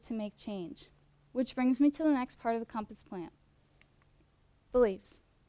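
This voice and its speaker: A woman talks at a fairly quick pace with a slight Midwestern US accent, a high pitch and ordinary pitch variation. Her tone is dark and mellow, and the sound is dry and close with no echo. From US Midwest. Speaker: student competition finalist. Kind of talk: prepared presentation.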